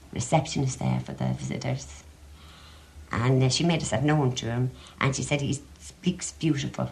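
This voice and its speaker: A woman speaks with a Dublin accent. Her pace is moderate. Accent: Dublin Irish. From Ireland, Dublin. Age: 70s. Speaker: interviewee, relative of writer. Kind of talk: interview.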